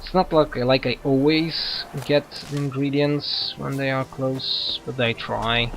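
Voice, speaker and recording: A man's very slow, flat, monotone delivery with a Polish accent, fairly high in pitch, with hardly any pauses and noticeable background noise. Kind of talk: gameplay commentary. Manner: halting.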